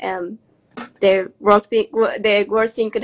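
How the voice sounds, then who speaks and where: The recording is dry and close, with no echo. A woman with a Mexican accent speaks in a fairly high pitch and fairly even intonation. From Mexico. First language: Spanish. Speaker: hotel manager. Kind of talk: interview.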